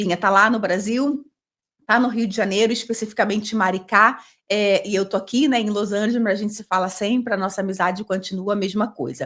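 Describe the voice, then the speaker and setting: A woman speaks at a medium pitch in a normal speaking voice. Her pace is fairly quick and her intonation fairly even. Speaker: podcast host. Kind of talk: casual interview.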